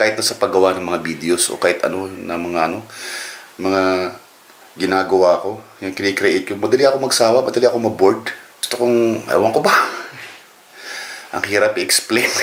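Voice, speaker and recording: Over noticeable background noise, a man with fairly low pitch speaks at a fairly quick pace, broken by long, frequent pauses. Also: ordinary pitch variation. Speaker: vlogger. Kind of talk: casual vlog. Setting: at home during power outage.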